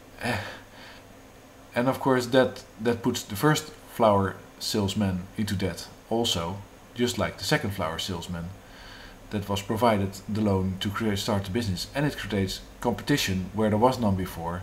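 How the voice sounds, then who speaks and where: A man's somewhat breathy, fairly low voice at a moderate pace, with ordinary pitch variation, long, frequent pauses and audible room echo. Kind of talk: monologue on economics. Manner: halting, many fillers.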